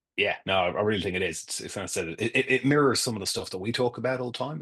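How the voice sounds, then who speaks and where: A man speaks with ordinary pitch variation. Behind him the background is quiet. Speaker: tech company founder. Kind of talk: webinar interview. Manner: casual, hesitant with fillers.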